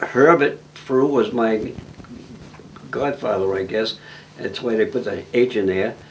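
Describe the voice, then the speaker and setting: With an American accent, a man of medium pitch talks at a fairly slow pace with long, frequent pauses over noticeable background noise. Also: ordinary pitch variation. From New England, central Massachusetts. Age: 90s. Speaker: elderly farm-raised interviewee. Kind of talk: oral history interview. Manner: halting.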